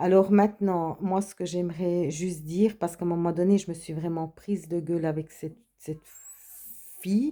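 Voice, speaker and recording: Her voice is fairly low with a dark, mellow tone, as the woman keeps a moderate pace and fairly even intonation. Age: 50s. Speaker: vlogger. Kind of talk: casual monologue. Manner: halting.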